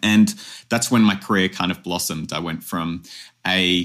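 A man with a very deep, low pitch and a bright, sharp tone at a moderate pace, on a very clean recording with a silent background. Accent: Australian. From Australia. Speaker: advertising strategist and academy founder. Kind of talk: interview. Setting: podcast.

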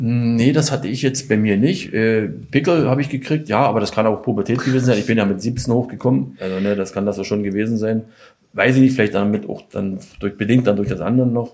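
A man with an unremarkable speaking voice and medium pitch talks at a fairly quick pace, his pitch varying an ordinary amount. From Weißwasser, Saxony (East Germany). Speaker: former ice hockey player, doping victim. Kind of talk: interview.

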